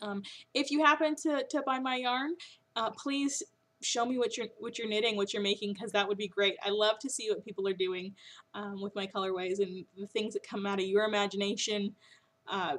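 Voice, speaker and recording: A woman talks fairly quickly, her fairly high pitch showing ordinary variation. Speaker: knitting podcast host and yarn dyer. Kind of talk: casual podcast monologue. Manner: hesitant, many fillers.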